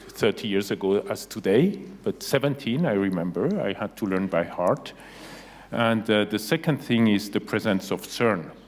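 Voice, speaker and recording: Here a man speaks with a fairly low pitch. His intonation is lively. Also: moderate pace. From Geneva, Switzerland. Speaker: university president. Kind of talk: panel interview.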